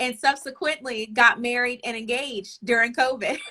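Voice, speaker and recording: Speaking at a moderate pace with a slight Southern US accent, a woman has a high pitch and a bright, sharp tone. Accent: slight Southern twang. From US South, Arkansas. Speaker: relationship coach and author. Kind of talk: casual chat.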